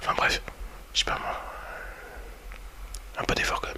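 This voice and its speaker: A man whispering over noticeable background noise. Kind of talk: ASMR whispered review talking to the viewer. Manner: whispered, soft-spoken, casual and hesitant.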